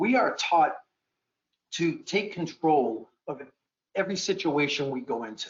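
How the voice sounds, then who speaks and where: Here a man with a Boston accent talks at a fairly high pitch. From Boston area, US. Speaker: animal welfare law enforcement officer, panelist. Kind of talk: panel discussion. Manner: repetitive, stammering restarts.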